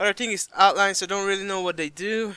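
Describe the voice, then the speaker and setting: In a very clean recording with a silent background and a dry, close sound with no echo, a man with a non-native accent speaks at a moderate pace in a bright, sharp tone. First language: not English. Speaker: gaming YouTuber. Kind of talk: tutorial. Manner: casual, halting at times.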